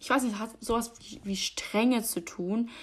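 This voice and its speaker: Somewhat breathy and animated, a woman talks at a moderate pace with ordinary pitch variation. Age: 20s. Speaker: podcaster. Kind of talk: casual monologue.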